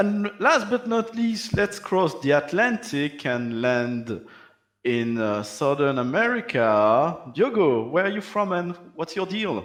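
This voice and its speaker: Spoken with a French accent at a very slow pace, the voice moves through very wide pitch swings. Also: man, high pitch for a man. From Belgium. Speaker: panel moderator. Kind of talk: panel discussion.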